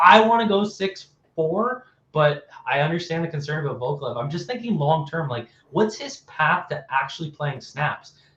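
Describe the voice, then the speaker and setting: Lively intonation marks this man's fairly high voice in a Canadian accent. It is a plain, everyday voice. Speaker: football analyst. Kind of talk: live stream sports talk. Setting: live stream. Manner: fast, with many self-corrections.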